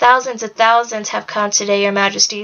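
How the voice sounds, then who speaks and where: Putting on a growling character voice at medium pitch, a woman speaks at a fairly quick pace in a monotone, flat delivery. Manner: faithful, respectful.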